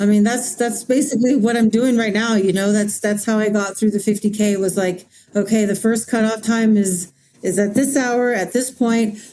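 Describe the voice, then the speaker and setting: A woman with an American accent speaks at a moderate pace in a fairly high pitch, her intonation fairly even and her loudness very even, with music in the background. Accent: Navajo English. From Navajo Nation, Arizona. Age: 40s. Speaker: mountain runner and student. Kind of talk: interview. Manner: halting.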